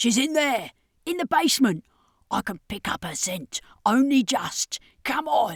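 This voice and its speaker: Using a put-on character voice, a woman speaks high and raspy at a moderate pace, with very wide pitch swings, long, frequent pauses and a dry, close sound with no echo. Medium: read story.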